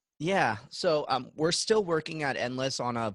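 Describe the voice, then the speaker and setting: Recorded with a dry, close sound and no echo, a man speaks in an animated tone with lively intonation. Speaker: virtual events expert. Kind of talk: webinar Q&A. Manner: fast; high energy, animated.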